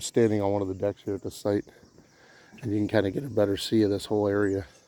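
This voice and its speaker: A man with a dark, mellow tone speaks at a fairly quick pace and a fairly low pitch with fairly even intonation. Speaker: camping vlogger. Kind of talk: casual walkthrough vlog. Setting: outdoors. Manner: quiet; halting.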